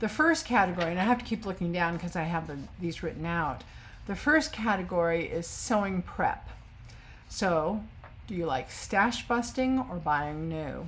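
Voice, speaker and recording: A woman with a somewhat breathy, fairly low voice talks at a moderate pace with lively intonation, and room echo is audible. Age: 60s. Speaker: sewing vlogger. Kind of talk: casual chat. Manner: hesitant, many fillers.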